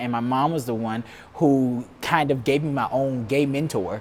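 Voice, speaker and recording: The man's voice sits at medium pitch. He keeps a moderate pace with ordinary pitch variation. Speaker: talk show host. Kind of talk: interview. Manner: loud.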